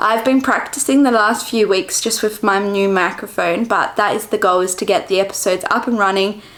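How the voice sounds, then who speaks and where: At a fairly quick pace with hardly any pauses, a woman with an Australian accent talks at medium pitch and fairly even intonation over noticeable background noise. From Western Australia, Perth. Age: 20s. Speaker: vlogger. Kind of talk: casual chat.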